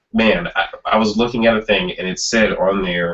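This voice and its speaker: A man with a fairly low pitch speaks at a moderate pace in an unremarkable speaking voice. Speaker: podcast co-host. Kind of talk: casual chat.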